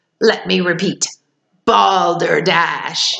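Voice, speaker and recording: A woman's booming, growling put-on character voice, shouting. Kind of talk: pompous, flamboyant. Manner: booming, shouted.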